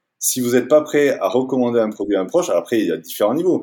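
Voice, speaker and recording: In a very clean recording with a silent background, a man speaks at a medium pitch with ordinary pitch variation and a dark, mellow tone. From France, Toulouse. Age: 40s. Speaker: outdoor gear company founder. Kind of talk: interview. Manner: halting, many fillers and repetitions.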